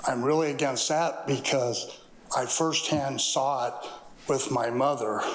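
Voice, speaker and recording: Over noticeable background noise and audible room echo, a man speaks at a fairly slow pace with a fairly high pitch and fairly even intonation. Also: very even loudness. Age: 60s. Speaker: public commenter, contractor. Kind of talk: public comment. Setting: city council meeting.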